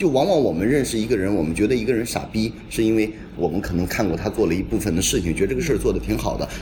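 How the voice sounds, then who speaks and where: A man's fairly low voice at a very fast pace, hardly any pauses, lively intonation, with audible room echo and noticeable background noise. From northern Jiangsu, Xuzhou area. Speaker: curator. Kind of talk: casual chat. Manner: animated.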